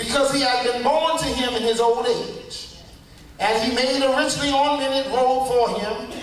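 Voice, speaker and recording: A man at an extremely high pitch and moderate pace, with noticeable background noise. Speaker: preacher. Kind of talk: sermon, preaching to a congregation.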